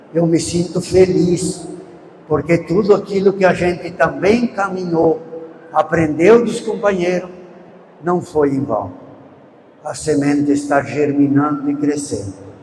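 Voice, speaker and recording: Against noticeable background noise, a man with a high voice speaks with ordinary pitch variation and long, frequent pauses. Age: 80s+. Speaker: veteran rural movement leader, speaker. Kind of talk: talk at a public event.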